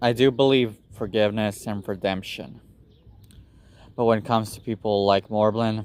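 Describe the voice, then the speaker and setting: Speaking with a non-native accent, a man keeps a moderate pace and fairly low pitch, broken by long, frequent pauses. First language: not English. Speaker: YouTuber. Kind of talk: personal vlog monologue. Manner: halting.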